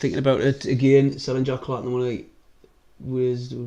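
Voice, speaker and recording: Flat and monotone, a man's medium-pitched voice carries a dark, mellow tone. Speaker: football fan streamer. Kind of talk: live stream watch-along, casual chat. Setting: live stream. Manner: casual, rambling.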